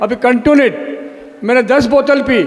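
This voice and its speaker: Over noticeable background noise, a man speaks at a moderate pace in an extremely high pitch. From Gujarat, Dahod. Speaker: product user, distributor. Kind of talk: testimony.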